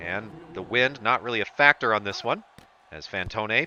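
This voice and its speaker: The voice belongs to a man. It swings through a very wide range of pitch. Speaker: play-by-play commentator for a simulated football game. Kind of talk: live play-by-play commentary. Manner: sarcastic.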